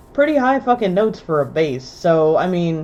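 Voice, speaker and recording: Very wide pitch swings from a female speaker, with noticeable noise in the background. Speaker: gaming streamer. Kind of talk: live gameplay stream chat. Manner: animated.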